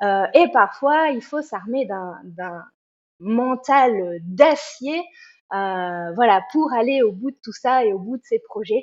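A woman's very slow speech with lively intonation and big swings in loudness. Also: fairly high pitch for a woman. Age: 40s. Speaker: trail runner. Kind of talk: interview.

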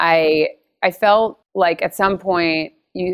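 This is an unremarkable speaking voice with an American accent. The intonation stays fairly even. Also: woman. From Connecticut, US East Coast. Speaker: beauty business founder. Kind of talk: interview.

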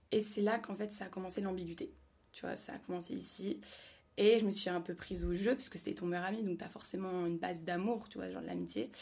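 Using vocal fry, a woman talks at a fairly quick pace with a medium pitch and ordinary pitch variation. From France, Paris. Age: young. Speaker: student. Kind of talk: casual chat.

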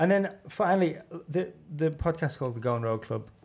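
A man with a Liverpool accent. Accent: Liverpool (Scouse). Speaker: podcast host. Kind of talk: casual interview chat.

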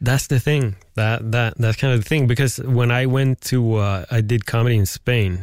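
A man speaks at a medium pitch with a Swedish accent. The recording is very clean, with a silent background. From Sweden. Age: 40s. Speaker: podcast host. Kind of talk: casual chat. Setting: studio.

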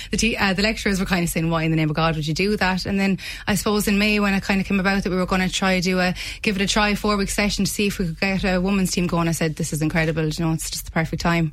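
The delivery is very fast, with very even loudness and fairly even intonation. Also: woman, medium pitch for a woman. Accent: Limerick. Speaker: rugby club PR officer and player. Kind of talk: radio interview.

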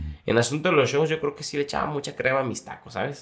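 A man with a Jalisco accent at a very fast pace. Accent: Mexican Spanish, Jalisco. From Mexico, Jalisco (Zapotlanejo). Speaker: singer. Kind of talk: casual chat.

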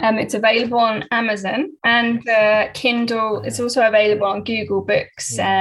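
Somewhat breathy and fairly high in pitch, a woman with a British accent speaks at a moderate pace with fairly even intonation. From UK. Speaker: author. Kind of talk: interview. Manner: halting, many fillers.

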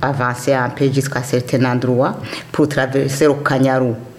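Over noticeable background noise and audible room echo, a woman speaks fairly slowly with a very deep, low pitch and monotone, flat intonation. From Burundi, Kayanza province. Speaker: immigrant elder. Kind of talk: testimony.

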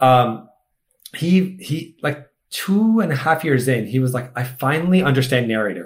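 This man's voice is somewhat breathy. Its pitch is medium. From Egypt. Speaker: tech startup founder. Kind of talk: casual interview chat.

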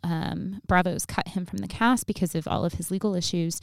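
An ordinary speaking voice from a woman, medium in pitch, at a moderate pace with ordinary pitch variation, in a very clean recording with a silent background. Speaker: history lecturer and podcast host. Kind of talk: casual chat.

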